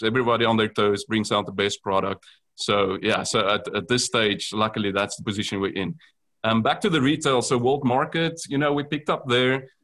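A speaker with a South African accent goes at a very fast pace with ordinary pitch variation, in a very clean recording with a silent background. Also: man. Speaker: food company founder. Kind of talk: casual interview.

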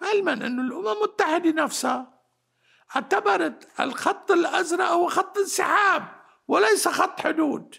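Raised and projected, a man's extremely high, bright, sharp voice moves at a fairly slow pace with lively intonation. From Lebanon, Batroun area. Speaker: historian. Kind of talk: interview. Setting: mountain village home.

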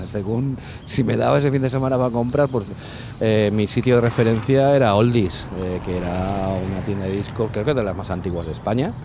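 A man speaks at a medium pitch and a moderate pace with ordinary pitch variation, over noticeable background noise. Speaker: DJ and music promoter. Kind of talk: casual interview. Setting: outdoors cycling along the coast. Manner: halting, many repetitions.

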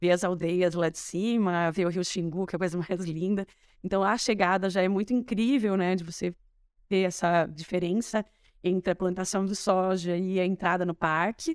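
A woman talks at a moderate pace with a medium pitch, in a plain, everyday voice. The recording is very clean, with a silent background. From interior of São Paulo state, Matão. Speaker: rural tourism owner, trained dentist. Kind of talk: casual interview chat.

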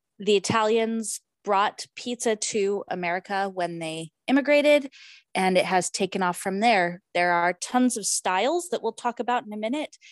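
On a very clean recording with a silent background, a woman with an unremarkable speaking voice and medium pitch talks at a moderate pace, the sound dry and close with no echo. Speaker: podcast host. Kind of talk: casual chat.

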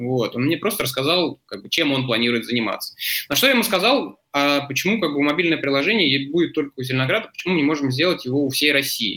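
At a very fast pace, a man with a fairly high pitch talks with lively intonation in a bright, sharp tone. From Moscow region, Zelenograd. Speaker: entrepreneur. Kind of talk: interview. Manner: hesitant, many fillers.

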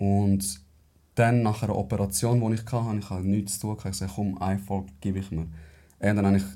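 A man's voice, dark and mellow in tone, sits fairly low and keeps a fairly even intonation. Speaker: podcast host. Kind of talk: casual chat.

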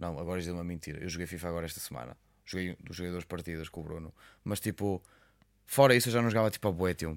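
Against a silent background in a very clean recording, a man talks at a very fast pace. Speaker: podcast co-host. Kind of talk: casual chat.

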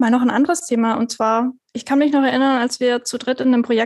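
A woman talks at a fairly quick pace with a high pitch and fairly even intonation. The sound is dry and close, with no echo. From southwest Germany, Stuttgart. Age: 30s. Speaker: podcast co-host, app developer. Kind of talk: casual chat.

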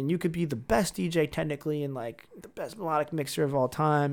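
An American accent marks this man's voice, which is an ordinary speaking voice. He has a fairly high pitch and a fairly quick pace. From Syracuse, New York. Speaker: house DJ. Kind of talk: casual chat.

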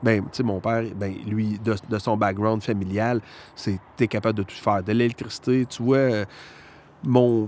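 A man speaks at a fairly low pitch and a fairly slow pace. His intonation is monotone and flat. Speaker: guitar repair technician. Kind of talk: casual chat. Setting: outdoors.

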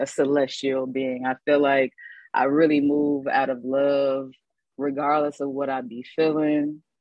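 Her pitch is very deep and low for a woman, in an American accent. This woman speaks in a monotone, flat intonation. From Illinois. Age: 30s. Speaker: founder of a healing and art therapy organization. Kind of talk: casual chat.

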